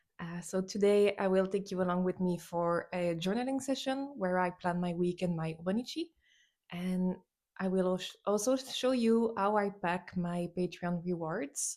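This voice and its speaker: In a non-native accent, the speaker uses a dark, mellow tone, ordinary pitch variation and a fairly slow pace on a very clean recording with a silent background. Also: woman. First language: not English. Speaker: artist and journaling vlogger. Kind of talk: casual vlog talk to camera. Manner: halting, frequent fillers.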